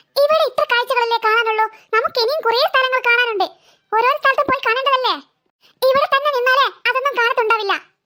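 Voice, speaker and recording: Her cartoonish character voice sits at an extremely high pitch for a woman. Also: moderate pace. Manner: warm, coaxing.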